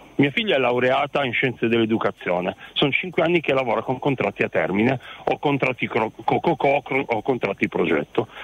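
Against noticeable background noise, a man speaks fairly quickly at a medium pitch, with lively intonation and very even loudness. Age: 50s. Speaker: radio caller, father. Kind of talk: radio phone-in call.

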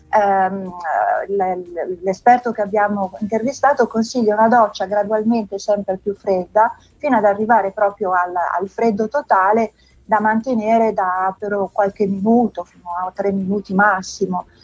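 Music plays in the background as a woman speaks at a moderate pace and a medium pitch, with fairly even intonation and a dry, close sound with no echo. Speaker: magazine editor. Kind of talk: interview.

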